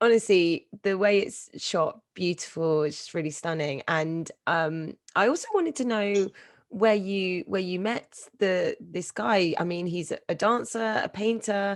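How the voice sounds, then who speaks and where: With a British accent, a woman speaks at a fairly slow pace and a medium pitch. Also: ordinary pitch variation. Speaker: event host. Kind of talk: live Q&A interview.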